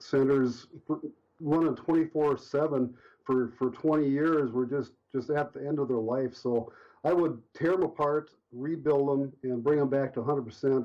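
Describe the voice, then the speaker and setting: The man keeps very even loudness and fairly even intonation. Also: fairly high pitch for a man, moderate pace. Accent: American. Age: 50s. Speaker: power lineman and hobbyist robot builder. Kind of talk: interview. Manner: hesitant, many fillers.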